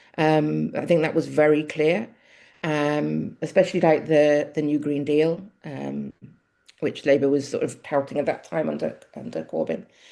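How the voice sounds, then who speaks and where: With a Mancunian accent, a woman speaks at a fairly slow pace, her very deep, low pitch carrying a dark, mellow tone. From Manchester, England. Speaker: local politician. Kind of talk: interview. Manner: halting.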